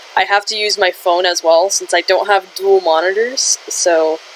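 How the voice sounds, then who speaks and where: A woman of medium pitch, fairly slow and fairly even in intonation, with noticeable background noise. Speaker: livestreamer drawing art. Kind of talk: casual livestream chat. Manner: hesitant, many fillers.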